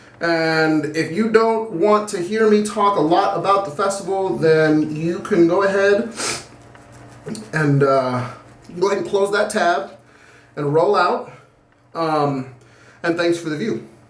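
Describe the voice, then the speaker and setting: A loud man with a high pitch and ordinary pitch variation, speaking at a fairly slow pace with long, frequent pauses, amid audible room echo and noticeable background noise. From Puerto Rican heritage. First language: Spanish. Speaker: shaving video creator. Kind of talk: casual vlog monologue.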